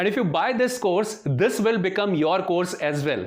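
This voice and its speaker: A man with an Indian accent talks at a fairly quick pace and a high pitch, with ordinary pitch variation. Room echo is audible. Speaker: software trainer. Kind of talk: sales pitch.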